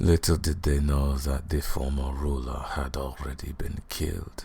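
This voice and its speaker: Over clear background noise, a man uses a put-on character voice with a menacing tone. His pitch is very deep and low, and his pace is fairly slow. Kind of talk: ASMR roleplay. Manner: mocking, menacing.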